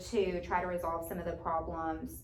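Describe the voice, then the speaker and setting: A woman with an American accent speaks at a moderate pace. Audible room echo surrounds her voice. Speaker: teaching job candidate. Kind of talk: job interview. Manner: loud.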